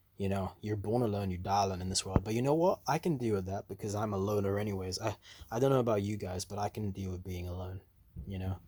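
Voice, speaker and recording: Very fast, a man talks in a fairly low, dark, mellow, somewhat breathy voice with fairly even intonation. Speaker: antinatalist video blogger. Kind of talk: casual monologue vlog. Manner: casual, heavy filler words.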